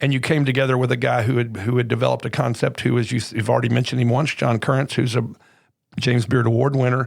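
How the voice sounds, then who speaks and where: Very fast and flat, a man of medium pitch talks in a monotone with vocal fry and very even loudness. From Little Rock, Arkansas. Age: 60s. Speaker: podcast host. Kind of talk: interview.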